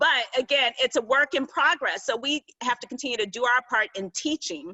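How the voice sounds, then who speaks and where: With an animated tone and ordinary pitch variation, a woman speaks at a moderate pace. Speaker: public relations executive. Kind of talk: panel discussion.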